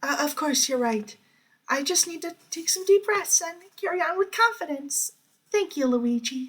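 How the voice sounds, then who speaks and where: Putting on a squeaky character voice, a man speaks at an extremely high pitch and a moderate pace. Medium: read story. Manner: soft, hesitant.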